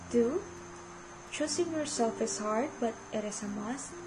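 With audible room echo and noticeable background noise, a woman with a Filipino accent speaks at a very slow pace in a high pitch with ordinary pitch variation. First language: Tagalog. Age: 20s. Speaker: podcast host. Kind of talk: personal monologue.

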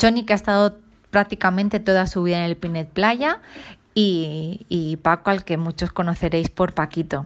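Against a quiet background, a woman talks at a moderate pace in a medium pitch with ordinary pitch variation. She has an ordinary speaking voice. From Ibiza, Sant Antoni. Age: 40s. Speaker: nurse. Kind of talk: voice message testimony. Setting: recorded voice message.

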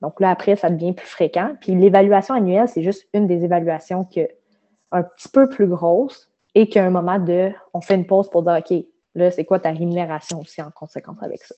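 A woman's medium-pitched voice in a Quebec accent, fairly quick in pace, with ordinary pitch variation and big swings in loudness. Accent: Québécois French. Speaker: management consultant. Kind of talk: casual interview.

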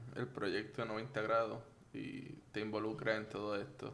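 Speaking at a fairly slow pace, a man with a medium pitch is heard in audible room echo. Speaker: podcast host. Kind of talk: interview.

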